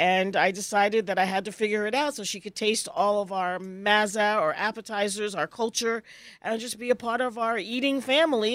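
A woman with an American accent talks at a fairly quick pace, in a plain, everyday voice, with hardly any pauses. Her fairly high pitch shows ordinary variation, and the recording is very clean, with a silent background. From US South, Virginia. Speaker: gluten-free food business owner. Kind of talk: casual chat.

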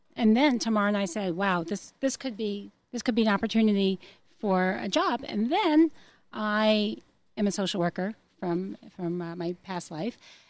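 On a very clean recording with a silent background, a woman with an unremarkable speaking voice speaks at a medium pitch and moderate pace, with an American accent and lively intonation. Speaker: relocation consultant. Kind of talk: interview.

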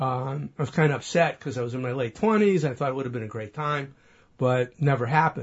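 A man talks at a fairly quick pace, somewhat breathy. His pitch is medium, with ordinary pitch variation. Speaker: man who found his birth family. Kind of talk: storytelling interview.

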